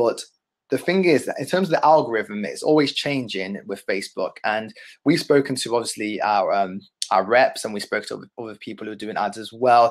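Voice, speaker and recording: A man speaks with a London accent. The background is quiet. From London, England. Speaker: digital marketing agency owner; ads instructor. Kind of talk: webinar tutorial. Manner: fast. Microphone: webcam.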